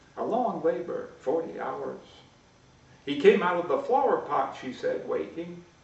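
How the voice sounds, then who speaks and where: A man talks at a fairly slow pace. Audible room echo and noticeable background noise accompany him. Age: 70s. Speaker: poet. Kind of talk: poetry reading.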